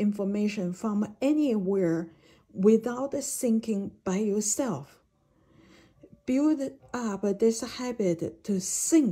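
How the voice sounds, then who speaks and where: The delivery comes at a very slow pace. Its intonation is lively. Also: woman. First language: not English (English is third language). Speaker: jade expert and educator. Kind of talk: video lecture. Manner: halting, with many fillers.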